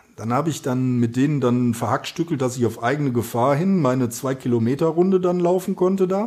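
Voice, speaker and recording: Using a plain, everyday voice, a man talks at a fairly quick pace and a medium pitch with lively intonation, very even loudness and hardly any pauses. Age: 50s. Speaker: author and amateur runner. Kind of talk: casual interview.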